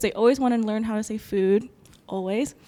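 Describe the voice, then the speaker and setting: The tone is dark and mellow. Intonation stays fairly even at a moderate pace. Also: woman. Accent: American. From United States. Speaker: ballet company employee. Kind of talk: interview.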